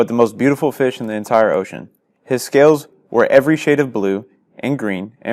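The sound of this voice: It is an unforced reading voice over a quiet background.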